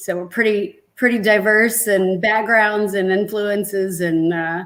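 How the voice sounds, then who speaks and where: A woman with an unremarkable speaking voice and an American accent talks at a fairly slow pace in a medium pitch and fairly even intonation. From Texas. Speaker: keyboardist and backup singer. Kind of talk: casual interview.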